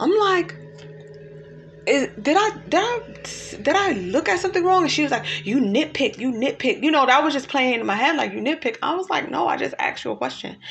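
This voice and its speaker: Fairly quick speech from a woman with a high pitch and very wide pitch swings, over noticeable background noise. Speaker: life coach. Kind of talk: casual talk to camera.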